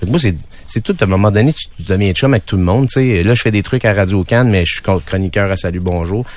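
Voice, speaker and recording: A man with an ordinary speaking voice talks at a fairly quick pace in a fairly low pitch, with ordinary pitch variation. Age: 40s. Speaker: musician and showman. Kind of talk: casual chat interview. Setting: radio studio.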